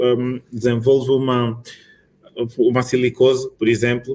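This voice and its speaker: A man with an Angolan accent, medium in pitch, at a fairly slow pace. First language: Angolan Bantu language (mother tongue) (speaking Portuguese). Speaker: occupational medicine physician. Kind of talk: conference talk. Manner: halting, frequent repetitions.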